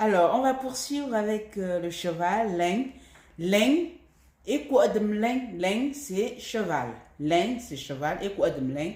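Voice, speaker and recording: A woman's somewhat breathy, dark, mellow tone in a fairly high pitch, with a Cameroonian accent, very wide pitch swings and a very slow pace. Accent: Cameroonian, Baham region. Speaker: language teacher. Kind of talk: language lesson.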